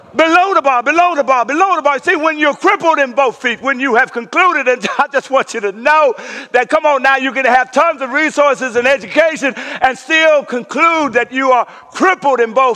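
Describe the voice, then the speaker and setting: Over noticeable background noise, a raised, projected voice in an animated tone moves at a moderate pace with ordinary pitch variation. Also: man. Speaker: pastor. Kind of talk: sermon. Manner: animated, call-and-response.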